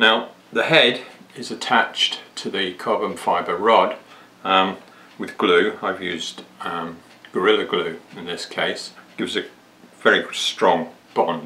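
Long, frequent pauses break up a man's very slow speech. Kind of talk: tutorial.

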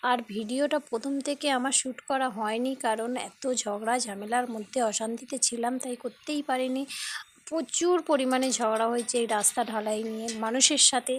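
With a high pitch and fairly even intonation, a woman speaks. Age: 30s. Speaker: lifestyle vlogger. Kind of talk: casual vlog.

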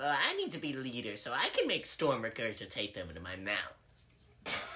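Low-to-middle pitch at a moderate pace. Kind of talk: comic overacting. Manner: whiny, demanding.

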